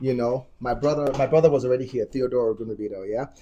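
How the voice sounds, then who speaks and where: Noticeable background noise runs under this man's voice. His pitch moves in an ordinary way. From Nigeria. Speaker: dance studio owner. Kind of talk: casual interview. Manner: animated.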